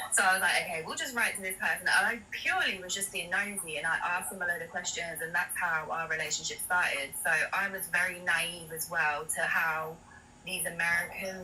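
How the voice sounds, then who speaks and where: A woman with a London accent speaks fairly quickly in a fairly low pitch with fairly even intonation, amid noticeable background noise and audible room echo. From London, England. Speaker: guest sharing experience. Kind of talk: testimony.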